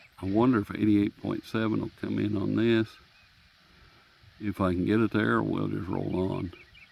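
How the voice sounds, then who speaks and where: Relaxed in tone, a man talks at a moderate pace with long, frequent pauses while noticeable background noise plays behind him. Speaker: radio hobbyist reviewer. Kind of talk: casual show-and-tell. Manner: relaxed, halting.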